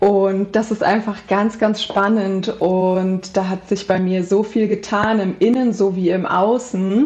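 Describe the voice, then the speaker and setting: At a very slow pace yet with hardly any pauses, a woman speaks at medium pitch in a monotone, flat intonation. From central Hesse, Germany. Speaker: animal communicator. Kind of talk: interview.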